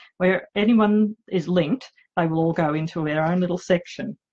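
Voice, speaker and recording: A woman with an Australian accent talks at a moderate pace and medium pitch with ordinary variation. Her voice is somewhat breathy. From Australia, outback Queensland. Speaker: romance author. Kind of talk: live vlog chat. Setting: home office livestream. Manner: hesitant, many fillers.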